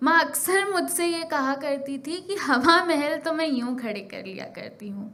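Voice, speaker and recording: A woman speaks in a high, raised and projected voice with lively intonation and big swings in loudness, hardly pausing at all, over noticeable background noise. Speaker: spoken word poet. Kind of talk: spoken word poetry performance. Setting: live stage.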